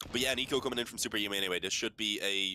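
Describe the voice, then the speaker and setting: With an Irish accent, a man talks at a very fast pace in a bright, sharp tone. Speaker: esports caster. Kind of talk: live commentary. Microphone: mic sounding bad.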